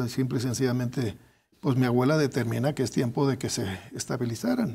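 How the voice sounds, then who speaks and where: Somewhat breathy and dark, mellow in tone, a man of medium pitch speaks at a fairly quick pace. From Guadalajara, Jalisco, Mexico. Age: 60s. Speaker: engineer and academic researcher; guest. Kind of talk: interview. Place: studio.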